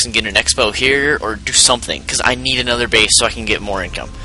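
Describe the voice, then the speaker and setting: Very fast speech over background music. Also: man. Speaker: gaming commentator. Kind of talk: game replay commentary. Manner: loud.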